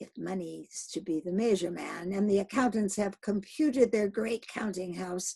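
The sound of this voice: The pitch varies in an ordinary way as the voice reads, unforced.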